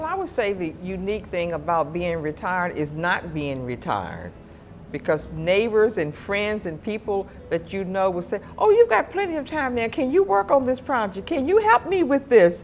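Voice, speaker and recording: Over music in the background, a woman speaks at a moderate pace. Her medium pitch moves in very wide swings. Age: 70s. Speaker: retiree. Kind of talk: documentary interview.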